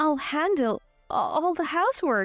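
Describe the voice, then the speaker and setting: Putting on a shaky character voice at an extremely high pitch, a woman swings her pitch very widely at a fairly slow pace while faint music plays behind her. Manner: nervous, anxious.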